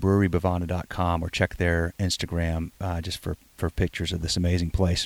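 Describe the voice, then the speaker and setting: Speaking at a fairly quick pace, a man with a very deep, low pitch holds a monotone, flat intonation in a dry, close recording with no echo, very clean with a silent background. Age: 40s. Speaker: podcast host. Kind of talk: interview. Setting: on location at a brewery.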